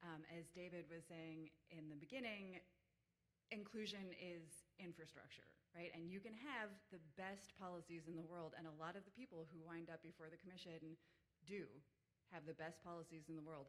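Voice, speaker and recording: A woman speaks with a fairly low pitch. Her pitch varies in an ordinary way. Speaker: lawyer. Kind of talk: panel talk. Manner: fast.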